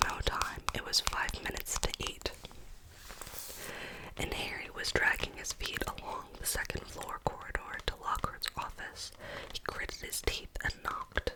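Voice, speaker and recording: Noticeable background noise runs through the clip. A woman whispers at a moderate pace. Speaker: ASMR content creator. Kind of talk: ASMR book reading. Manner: whispered, soft.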